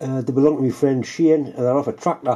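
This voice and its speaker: A man speaks at a fairly quick pace with a dark, mellow tone. The background is quiet. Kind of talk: tutorial. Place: workshop. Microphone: camera far.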